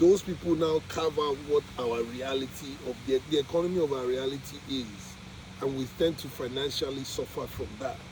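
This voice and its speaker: A man's fairly high voice at a moderate pace, fairly even in intonation, with noticeable background noise. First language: not English. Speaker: vlogger documenting spiritual journey. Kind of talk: casual monologue. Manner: halting.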